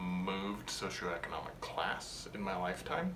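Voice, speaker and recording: Noticeable background noise and audible room echo surround a man talking in an American accent. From United States. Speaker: physician. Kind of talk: interview testimony.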